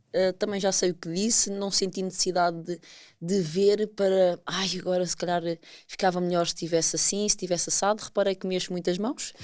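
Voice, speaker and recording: In a European Portuguese accent, a woman speaks with monotone, flat intonation. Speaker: podcast co-host. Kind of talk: casual chat.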